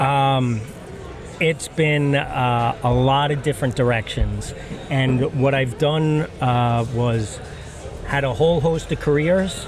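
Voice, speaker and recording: With an American accent, a man talks at a very slow pace, fairly high-pitched, with fairly even intonation and very even loudness. Noticeable background noise and audible room echo are present. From Long Island, New York. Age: 50s. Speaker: firefighter and woodworker. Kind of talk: casual interview chat. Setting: recorded at maker camp event.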